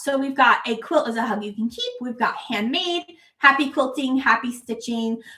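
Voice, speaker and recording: Raised and projected, a woman's high-pitched voice carries an animated tone. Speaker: quilt fabric designer and channel host. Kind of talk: livestream product showcase. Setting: live stream.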